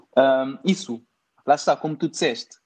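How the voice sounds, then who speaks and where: A man with a fairly high pitch talks at a moderate pace, using ordinary pitch variation. He has an unremarkable speaking voice. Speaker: podcast co-host. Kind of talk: casual chat.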